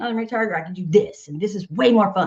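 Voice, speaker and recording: A woman with a Southern US accent, animated in tone and fairly quick in pace. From US South, Nashville, Tennessee. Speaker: singer-songwriter and music organization founder. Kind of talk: podcast interview.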